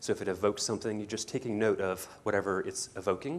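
Here a man talks at a fairly quick pace. His pitch is fairly low. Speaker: psychologist and professor. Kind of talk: guided meditation, then lecture. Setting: lecture hall with audience. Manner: conversational, explanatory. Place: hall.

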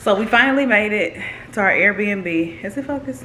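Her pitch swings very widely. A woman speaks with light background noise behind her. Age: 20s. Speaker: vlogger. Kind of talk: casual vlog. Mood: playful, cheeky. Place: home room. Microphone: phone near.

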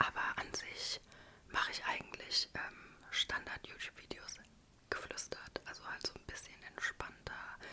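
Soft-spoken whispering from a woman at a fairly slow pace, with big swings in loudness and noticeable background noise. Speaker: ASMR YouTuber. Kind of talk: casual vlog chat. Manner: soft close-mic whisper. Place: home room. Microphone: studio mic.

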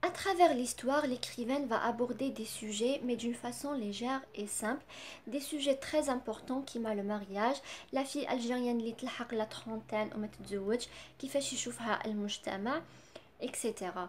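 Over light background noise, a woman with a high pitch and an Algerian accent speaks at a fairly slow pace with ordinary pitch variation. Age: 20s. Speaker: book reviewer. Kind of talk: book review. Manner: halting, many fillers. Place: home room. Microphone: phone near.

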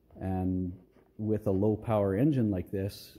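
The voice has a dark, mellow tone and is somewhat breathy. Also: man. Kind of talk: casual tutorial commentary. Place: garage. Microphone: phone near.

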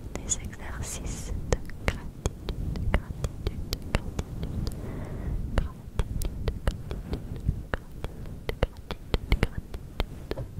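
Whispering and breathy, a woman speaks at a very slow pace with long, frequent pauses. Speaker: ASMR creator. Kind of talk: soft-spoken ASMR affirmations. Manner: close breathy whisper into mic. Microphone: studio mic.

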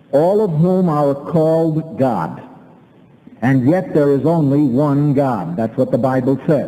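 A man's fairly high voice at a very slow pace. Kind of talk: live debate with audience member. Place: hall. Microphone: old recording.

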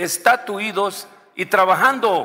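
Bright, sharp tone from a male speaker. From Mexico, Guerrero. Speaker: senator. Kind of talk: parliamentary debate; parliamentary speech. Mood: firm, argumentative. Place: hall. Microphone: podium.

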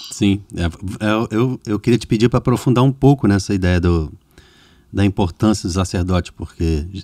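In a dry, close recording with no echo, a man with a dark, mellow tone and fairly low pitch talks at a moderate pace, leaving long, frequent pauses. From Rio de Janeiro, Brazil. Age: 40s. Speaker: podcast host and music producer. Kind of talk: casual interview conversation.

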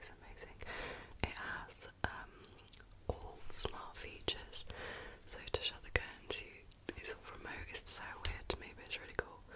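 A woman whispering in a British accent at a fairly slow pace. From United Kingdom. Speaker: ASMR creator. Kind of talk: ASMR whisper ramble. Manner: whispered, soft-spoken. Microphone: studio mic.

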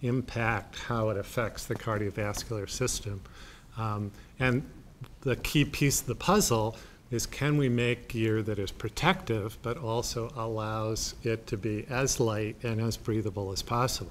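Light background noise sits behind a man speaking at a fairly slow pace. His intonation stays fairly even. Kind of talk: interview answer. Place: meeting room.

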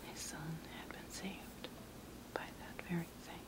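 A soft-spoken voice at a moderate pace, dry with no echo, set against loud background noise. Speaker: storyteller crafter. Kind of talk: casual storytelling while working. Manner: soft, hushed ASMR storytelling voice.

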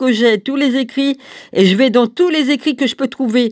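A woman's high-pitched voice at a moderate pace. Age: 60s. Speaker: religious video blogger. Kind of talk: video monologue. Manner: halting.

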